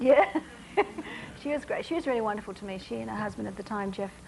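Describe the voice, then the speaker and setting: A woman with an Australian accent speaks at a very fast pace. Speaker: singer and actress. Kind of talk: talk show interview answer.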